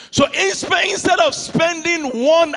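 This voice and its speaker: A raised, projected voice comes with a strong Nigerian accent and an animated tone. Noticeable background noise runs beneath it. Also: man. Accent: Nigerian accent, thick. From Nigeria (Yoruba, Ijebu). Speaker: pastor. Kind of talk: sermon. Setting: church with congregation.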